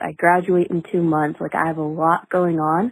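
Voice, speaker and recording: With a Californian accent, a woman speaks in a fairly low, monotone voice at a moderate pace, the sound dry and close with no echo on a very clean recording with a silent background. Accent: Californian American. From Southern California, Ventura County. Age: 20s. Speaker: caller, college student. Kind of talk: voice message.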